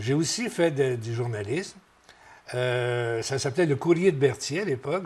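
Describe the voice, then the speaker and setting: The speech moves at a moderate pace with ordinary pitch variation. The voice is somewhat breathy. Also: man. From Quebec, Berthierville area. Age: 70s. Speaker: retired radio broadcaster. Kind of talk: interview. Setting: tv studio. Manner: halting.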